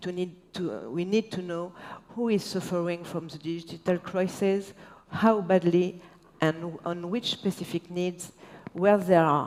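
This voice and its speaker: In a French accent, a woman speaks with a fairly low pitch and fairly even intonation. Her pace is fairly slow. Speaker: local politician. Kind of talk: panel discussion, partly read. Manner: halting; partly reading aloud.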